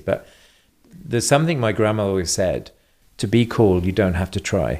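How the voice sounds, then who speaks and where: Speaking at a fairly quick pace, a man talks with a slight German accent. The recording is very clean, with a silent background. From England. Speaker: travel platform founder. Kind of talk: interview.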